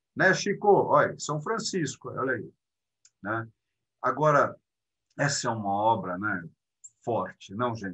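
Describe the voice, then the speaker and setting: At a fairly slow pace, a man talks in a medium pitch with a bright, sharp tone. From Brazil, Belo Horizonte. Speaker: art lecturer. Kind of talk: lecture. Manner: animated.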